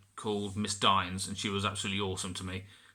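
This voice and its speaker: This man speaks with an English accent and a bright, sharp tone. The recording is very clean, with a silent background. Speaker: vlogger. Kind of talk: personal vlog. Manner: halting, many repetitions.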